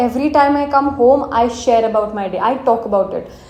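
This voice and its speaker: A woman with a strong Indian accent speaks at a moderate pace with lively intonation over noticeable background noise. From India, Marathi-speaking. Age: 20s. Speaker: vlogger. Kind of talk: casual personal vlog, English mixed with Hindi. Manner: soft-spoken; casual with fillers.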